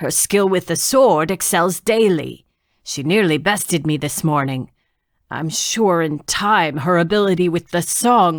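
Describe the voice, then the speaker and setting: On a very clean recording with a silent background, a put-on character voice comes through gruff at a middle pitch and a moderate pace. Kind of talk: archaic fantasy speech. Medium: read story. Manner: low, protective.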